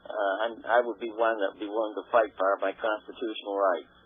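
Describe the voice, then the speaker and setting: A man with a plain, everyday voice speaks at a moderate pace in a fairly low pitch. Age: 60s. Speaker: caller. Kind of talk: casual chat. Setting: phone call.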